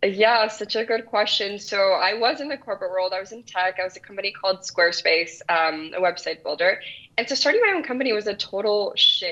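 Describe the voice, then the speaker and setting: Against noticeable background noise, a woman at medium pitch talks at a fairly quick pace with ordinary pitch variation and hardly any pauses. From El Salvador. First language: Spanish. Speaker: business founder. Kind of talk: interview.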